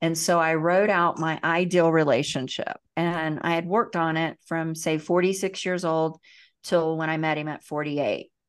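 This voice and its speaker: Against a quiet background, a woman with a slight Southern US accent speaks at a moderate pace in a fairly low pitch, her intonation monotone and flat. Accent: slight Southern twang. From US South, Central Florida. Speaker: emotional healing teacher and author. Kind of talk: interview storytelling.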